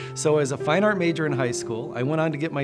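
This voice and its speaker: Over music in the background, a man with an American accent and a warm tone talks at a very fast pace with ordinary pitch variation. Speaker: fine art auctioneer and TV host. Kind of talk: casual talk to camera, promotional introduction. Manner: friendly, conversational, warm.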